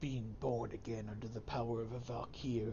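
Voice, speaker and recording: A man's put-on character voice at medium pitch and moderate pace, over loud background noise. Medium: game stream. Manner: solemn, authoritative.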